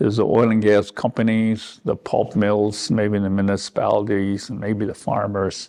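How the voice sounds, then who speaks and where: A dark, mellow tone at a fairly slow pace. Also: man. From Northwest Territories, Canada (Dene First Nation, near Fort Simpson). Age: 70s. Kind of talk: interview testimony. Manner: halting, many fillers and repetitions.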